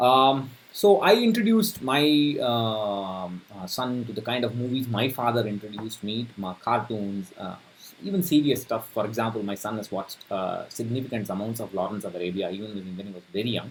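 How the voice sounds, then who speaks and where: This man talks at a fairly quick pace. His pitch shows ordinary variation. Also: medium pitch for a man. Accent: Tamil Indian. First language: Tamil. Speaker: personal finance youtuber. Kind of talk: casual talk to camera. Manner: halting, many fillers.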